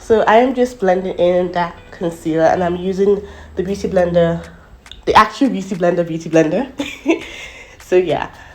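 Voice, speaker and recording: With long, frequent pauses, a woman speaks at medium pitch with ordinary pitch variation against noticeable background noise. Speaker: beauty YouTuber. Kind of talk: makeup tutorial voiceover. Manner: fast.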